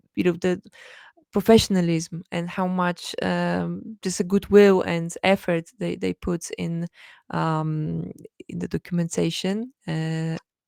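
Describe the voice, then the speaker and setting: A woman with a non-native accent at a very slow pace, in a dry, close sound with no echo and a very clean recording with a silent background. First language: not English. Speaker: blockchain developer relations lead. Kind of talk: interview. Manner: halting, many fillers.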